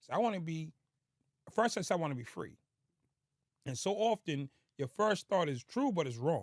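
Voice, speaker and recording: On a very clean recording with a silent background, a man speaks at a high pitch with very wide pitch swings and long, frequent pauses. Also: moderate pace, dry, close sound with no echo. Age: 50s. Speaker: former prisoner turned speaker. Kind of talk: interview storytelling.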